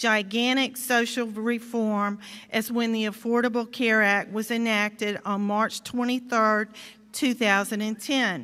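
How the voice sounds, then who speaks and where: Speaking in a Georgia accent, a woman has a fairly high pitch and a bright, sharp tone at a fairly slow pace. The recording is very clean, with a silent background. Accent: Southern American (Georgia). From US South. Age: 60s. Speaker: state legislator. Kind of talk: commencement speech. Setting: stage with audience.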